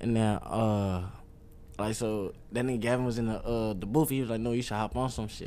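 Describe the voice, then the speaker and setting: Speaking with an American accent at a moderate pace, a man uses a medium pitch, fairly even intonation and a dark, mellow tone, with audible room echo around him. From Detroit area, Michigan. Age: 20s. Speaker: rapper. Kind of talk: casual interview.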